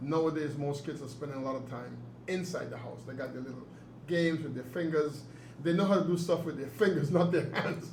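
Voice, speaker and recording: With noticeable background noise, a man talks fairly quickly at a fairly high pitch, his intonation fairly even but his loudness swinging a lot. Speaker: author and interviewer. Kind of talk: interview questions.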